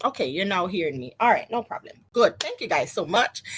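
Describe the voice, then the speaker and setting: A woman's bright, sharp voice at medium pitch, full of very wide pitch swings. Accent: Jamaican. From Jamaica. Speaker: business coach. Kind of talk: live stream talk to viewers. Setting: live stream on social media. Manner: casual, chatty.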